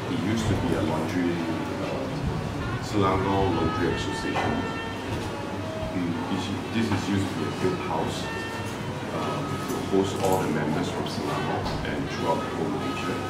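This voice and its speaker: A man speaks at a moderate pace, leaving long, frequent pauses. Music plays in the background, and room echo is audible. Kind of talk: interview answer. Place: cafe. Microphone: camera far.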